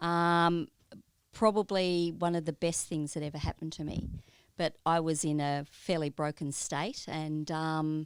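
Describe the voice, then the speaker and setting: A fairly slow delivery in an Australian accent with fairly even intonation, a dry, close sound with no echo, and a very clean recording with a silent background. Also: woman, very deep, low pitch for a woman. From Australia, Melbourne. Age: 60s. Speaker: church member, pastoral carer. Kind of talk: interview.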